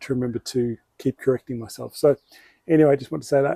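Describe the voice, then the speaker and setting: A man speaks with a strong Australian accent at a medium pitch. His dark, mellow tone moves at a fairly quick pace with ordinary pitch variation. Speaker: bonsai hobbyist YouTuber. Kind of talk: tutorial. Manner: casual, hesitant with fillers.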